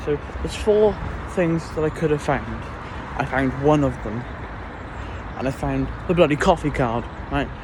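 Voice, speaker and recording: Over noticeable background noise, a speaker with a Welsh accent talks at a moderate pace with lively intonation. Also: man. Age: young. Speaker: college student vlogger. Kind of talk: casual vlog. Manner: animated.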